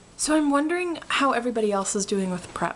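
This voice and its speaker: Noticeable background noise sits behind a woman talking at a moderate pace. Her intonation is lively. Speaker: vlogger. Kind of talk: casual vlog update. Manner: loud, animated; hesitant fillers, um and uh.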